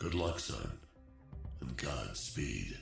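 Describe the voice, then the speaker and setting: A man performs a put-on character voice over clear music in the background. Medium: video game. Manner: gruff, clipped military.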